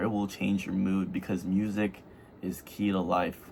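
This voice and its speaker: At a moderate pace, a man with a fairly low pitch speaks in a plain, everyday voice. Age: 20s. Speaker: youth trading vlogger. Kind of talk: casual monologue vlog. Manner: rambling, filler-heavy.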